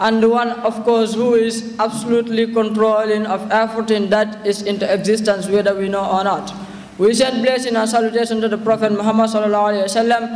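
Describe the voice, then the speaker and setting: In a room with audible echo, a man rattles along at a very fast pace, his high pitch held to a monotone, flat intonation. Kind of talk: formal speech. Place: hall. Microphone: podium.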